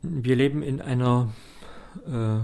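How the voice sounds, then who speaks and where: A man's dark, mellow voice at a very slow pace, with ordinary pitch variation. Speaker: theologian and political candidate. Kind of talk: radio interview. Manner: hesitant with filler sounds.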